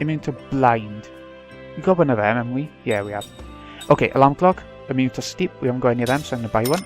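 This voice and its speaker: Music plays behind a quiet man at medium pitch. He talks at a very fast pace but leaves long, frequent pauses. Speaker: let's play gamer. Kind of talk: casual gameplay commentary.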